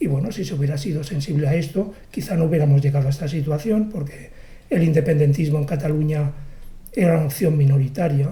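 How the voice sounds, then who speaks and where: Somewhat breathy and dark, mellow in tone, a man talks at a very fast pace with ordinary pitch variation. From Catalonia, Barcelona. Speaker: poet. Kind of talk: interview. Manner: halting.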